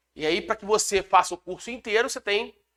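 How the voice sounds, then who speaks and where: High-pitched and at a very fast pace, a man speaks with a dry, close sound and no echo. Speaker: law exam lecturer and police chief. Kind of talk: lecture.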